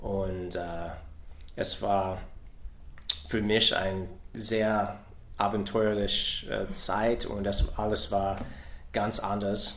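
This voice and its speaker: Amid audible room echo, a man with a fairly low pitch talks at a very slow pace in a monotone, flat way, with long, frequent pauses. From US Midwest, Ohio. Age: 40s. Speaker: soldier. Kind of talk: interview in a learned language. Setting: in person. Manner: halting, many hesitations.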